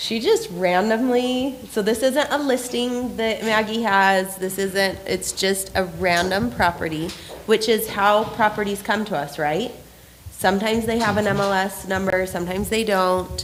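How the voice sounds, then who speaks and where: A woman of medium pitch talks at a moderate pace with ordinary pitch variation, against noticeable background noise. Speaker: real estate team trainer. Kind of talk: training class. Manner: casual, many fillers.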